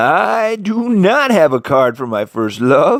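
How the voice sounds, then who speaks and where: In a put-on character voice, a man talks fairly slowly at a high pitch, his voice swinging very widely up and down. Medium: read story.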